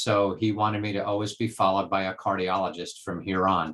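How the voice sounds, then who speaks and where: A man's fairly low voice at a fairly quick pace. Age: 60s. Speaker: professor. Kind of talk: lecture. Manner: halting.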